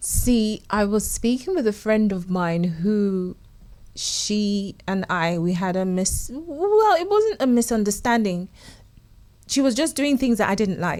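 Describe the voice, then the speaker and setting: The speaker has a British accent and an animated tone with lively intonation. The pace is fairly slow. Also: woman, fairly high pitch for a woman. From UK, Nigerian parents. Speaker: guest panelist. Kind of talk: panel discussion.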